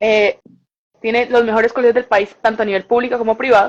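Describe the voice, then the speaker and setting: Speaking at a very fast pace, a woman with a fairly high pitch keeps a monotone, flat intonation. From Colombia, Bucaramanga. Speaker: communicator and journalist, language content creator. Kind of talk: interview.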